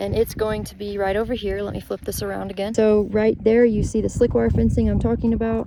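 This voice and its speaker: A speaker with an American accent talks at a fairly quick pace. Noticeable background noise sits under the voice. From Texas. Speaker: horse sanctuary operator. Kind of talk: informal video walkthrough. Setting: outdoors. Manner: fast.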